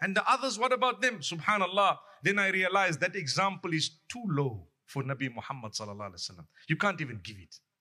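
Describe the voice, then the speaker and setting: A man's bright, sharp voice, high-pitched, racing at a very fast pace with very wide pitch swings and big swings in loudness. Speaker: Islamic preacher. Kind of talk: sermon. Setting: mosque. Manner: loud, raised voice.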